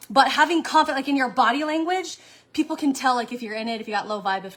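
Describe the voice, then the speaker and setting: Against noticeable background noise, a woman projects her high, raised voice with lively intonation. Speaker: online sales coach. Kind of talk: live stream talk. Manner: fast.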